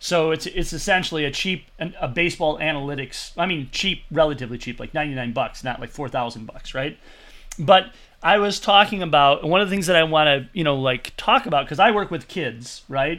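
On a very clean recording with a silent background, a man with an American accent speaks at a fairly quick pace, with a fairly high pitch, a bright, sharp tone and lively intonation. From Michigan. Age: 40s. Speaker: podcast host, pitching coach. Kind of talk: casual interview.

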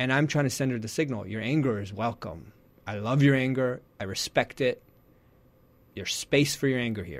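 On a very clean recording with a silent background, a man with a plain, everyday voice speaks at medium pitch and a moderate pace, with ordinary pitch variation. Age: 40s. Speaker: parenting coach. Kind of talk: interview. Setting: radio studio.

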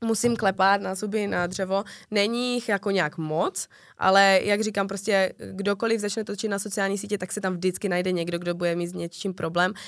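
With a slight Ostrava accent, a woman speaks at a moderate pace and medium pitch with fairly even intonation on a very clean recording with a silent background. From Czechia, Ostrava. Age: 20s. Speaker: TikToker and bartender. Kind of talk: casual interview chat.

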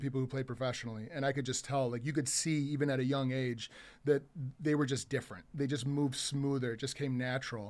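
Here is a man with an unremarkable speaking voice, talking at a fairly quick pace in a medium pitch. His intonation stays fairly even in a very clean recording with a silent background. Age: 40s. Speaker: business co-owner. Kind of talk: casual chat.

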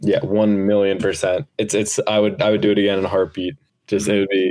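An ordinary speaking voice from a man, fairly low in pitch, with fairly even intonation at a fairly quick pace. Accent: American. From New Jersey. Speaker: podcast co-host and production crew, lifeguard. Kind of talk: casual podcast chat.

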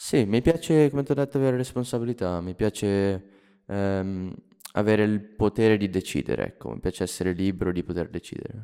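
A man with an ordinary speaking voice, fairly low in pitch, with lively intonation and a fairly quick pace. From Lombardy, Italy (Monza area). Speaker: podcast co-author. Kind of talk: casual chat.

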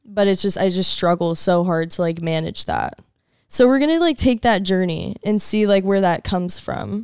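Her voice a plain, everyday voice, a woman talks at a moderate pace and medium pitch with ordinary pitch variation. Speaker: guest, friend of host. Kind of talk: casual chat.

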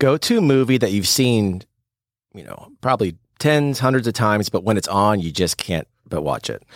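A man speaks in an unremarkable speaking voice at medium pitch, with lively intonation and a moderate pace. The sound is dry and close with no echo, a very clean recording over a silent background. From Missouri, St. Louis. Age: 40s. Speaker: podcast host, newspaper owner. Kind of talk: casual interview. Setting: studio.

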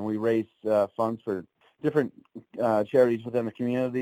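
In a very clean recording with a silent background, a man speaks at a fairly low pitch in a dark, mellow tone with fairly even intonation, the sound dry and close with no echo. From Ontario, Canada. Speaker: country singer-songwriter. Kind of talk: casual interview.

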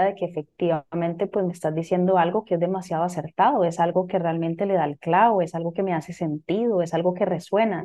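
A woman talks at a fairly quick pace with fairly even intonation and medium pitch. It is a plain, everyday voice. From Costa Rica. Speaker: business coach and astrologer. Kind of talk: casual interview.

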